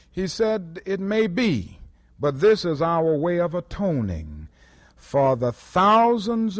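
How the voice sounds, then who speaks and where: With a Southern US accent, the speaker talks at a very slow pace against a quiet background. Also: man. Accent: American, Southern. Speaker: civil rights leader. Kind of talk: public speech. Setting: lecture hall recording, vintage audio.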